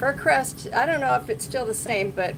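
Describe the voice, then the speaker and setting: A woman talks over noticeable background noise, and her voice has audible room echo. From Washington State, US. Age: 60s. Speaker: motorcycle vlogger. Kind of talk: casual live stream chat. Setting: garage. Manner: casual, halting with fillers.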